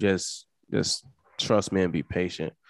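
Recorded with dry, close sound and no echo, a man speaks in an American accent. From Mississippi, US South. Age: 30s. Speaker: retired football player. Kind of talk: interview. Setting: video call.

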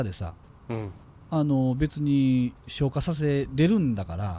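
The speaker talks with a Kansai accent. Music can be heard in the background. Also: man. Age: middle-aged. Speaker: podcast co-host, creator. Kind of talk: casual chat.

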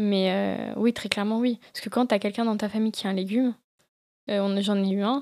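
In a dry, close sound with no echo, a woman speaks at medium pitch and a moderate pace with monotone, flat intonation. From France, Lyon. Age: 20s. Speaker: environmental field worker and photographer. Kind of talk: casual chat.

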